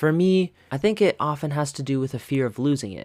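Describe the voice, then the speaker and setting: A man speaks with ordinary pitch variation. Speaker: podcast host. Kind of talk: solo podcast monologue. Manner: relaxed, casual.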